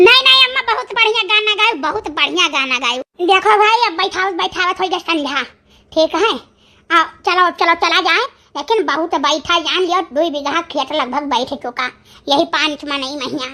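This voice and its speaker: Putting on a cartoonish character voice, a woman speaks at an extremely high pitch with lively intonation. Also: moderate pace. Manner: folksy, chatty.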